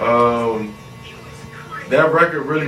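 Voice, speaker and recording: Music plays behind a man with an American accent, and the room echo is audible. He speaks at a fairly slow pace with fairly even intonation. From US Mid-Atlantic, Prince George's County, Maryland (DC area). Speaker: rapper. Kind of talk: casual interview.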